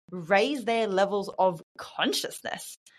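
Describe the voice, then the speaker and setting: On a very clean recording with a silent background, a woman with an Australian accent speaks at a fairly slow pace and a medium pitch. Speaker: women's career mentor and speaker. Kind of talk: casual interview. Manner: animated.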